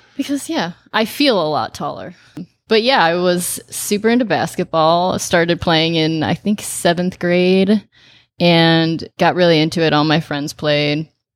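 A woman speaks with a Chicago accent. Her pitch is fairly low. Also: ordinary pitch variation, fairly slow pace. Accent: Chicago-area American. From US Midwest, northern Illinois near Chicago. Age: 30s. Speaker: chef. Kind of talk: casual chat.

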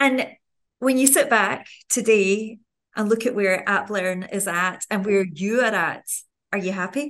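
At a fairly slow pace, a woman with an ordinary speaking voice talks at a medium pitch. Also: ordinary pitch variation. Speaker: podcast host and television presenter. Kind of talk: interview intro and questions.

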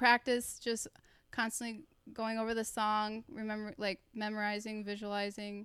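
A woman with an American accent speaks at a fairly high pitch and a moderate pace. Her intonation is monotone and flat. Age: 20s. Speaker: professional dancer. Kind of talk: interview.

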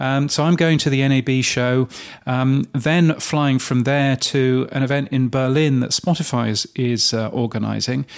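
With a British accent, a man speaks at a moderate pace and medium pitch, his intonation fairly even and his loudness very even. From Britain. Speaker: podcast industry news editor and host. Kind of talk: casual chat. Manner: hesitant, many fillers.

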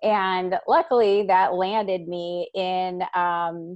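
A woman speaks with an American accent. Her intonation is monotone and flat. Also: dry, close sound with no echo. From Chicago, US Midwest. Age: 30s. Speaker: psychology professor. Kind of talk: interview.

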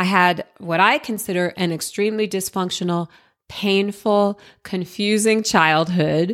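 A woman with an American accent and an unremarkable speaking voice, medium pitch, ordinary pitch variation and a fairly slow pace, in a very clean recording with a silent background. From Jersey City, New Jersey, US. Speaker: podcast host and entrepreneur. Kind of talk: personal storytelling monologue.

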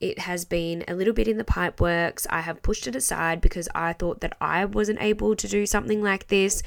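An animated woman with an Australian accent speaks at a moderate pace in a very clean recording with a silent background. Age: 20s. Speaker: podcast host and small business owner. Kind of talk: solo podcast monologue.

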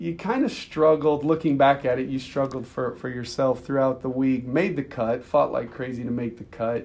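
At a moderate pace, a man with an American accent speaks in an ordinary speaking voice, medium in pitch with ordinary pitch variation. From US Midwest. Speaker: sports business executive, former caddie. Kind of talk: casual interview chat.

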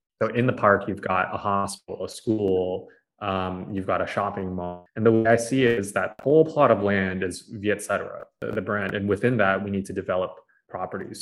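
Man with a Californian accent at a fairly low pitch, ordinary pitch variation and a moderate pace, music playing in the background. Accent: Californian American English. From US, San Francisco Bay Area. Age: 20s. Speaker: media company CEO. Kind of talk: casual interview. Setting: remote call.

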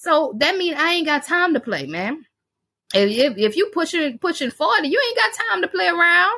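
A woman's high voice is raised and projected, with a bright, sharp, animated tone and very wide pitch swings. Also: moderate pace. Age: 40s. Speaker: cleaning business podcast host. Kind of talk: casual motivational talk.

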